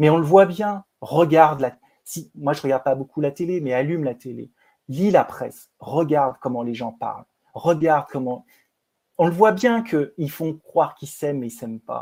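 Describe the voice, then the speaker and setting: A man's fairly high voice with a dark, mellow tone, at a moderate pace, ordinary pitch variation and big swings in loudness, on a very clean recording with a silent background. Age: 50s. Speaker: film producer and director. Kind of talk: interview conversation.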